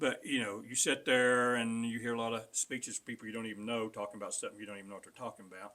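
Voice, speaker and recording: With an Appalachian accent, a man talks at a very fast pace. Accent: Southern Appalachian US. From western North Carolina mountains. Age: 60s. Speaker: political candidate. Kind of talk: interview. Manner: halting.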